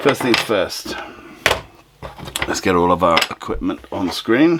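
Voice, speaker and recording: A man delivers his words at a fairly slow pace while noticeable background noise fills the recording. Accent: British. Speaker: DIY maker and YouTuber. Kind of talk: tutorial. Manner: casual, thinking aloud.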